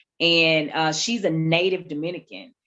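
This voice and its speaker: A woman with a strong Southern US accent at a moderate pace, against a quiet background. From US South. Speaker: ministry founder. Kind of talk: testimony.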